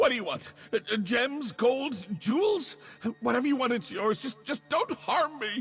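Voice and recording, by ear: A man puts on a character voice at an extremely high pitch, fairly bright in tone with a husky, rough edge and big pitch swings. He speaks at a moderate pace while faint music plays in the background.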